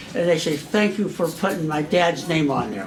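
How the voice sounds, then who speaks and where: A man with an American accent speaks fairly quickly with ordinary pitch variation, amid audible room echo and noticeable background noise. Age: 80s+. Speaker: war veteran. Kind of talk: casual talk. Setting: luncheon with audience. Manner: rambling, halting.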